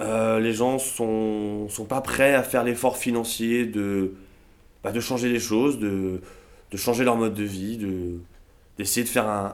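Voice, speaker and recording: A man's plain, everyday voice at medium pitch, with ordinary pitch variation and a fairly slow pace. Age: 30s. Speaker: fly farmer. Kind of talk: casual interview.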